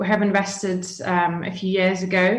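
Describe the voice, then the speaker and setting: Audible room echo surrounds a woman's somewhat breathy voice. She speaks at a fairly slow pace. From Russia, Yekaterinburg. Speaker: business expert and guest lecturer. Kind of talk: lecture.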